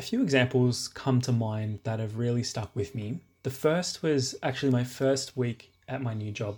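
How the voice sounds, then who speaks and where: An Australian-accented man speaks at a medium pitch with ordinary pitch variation and a somewhat breathy quality. The recording is very clean, with a silent background. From Sydney, Australia. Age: 20s. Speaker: listener sharing a story. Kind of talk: testimony.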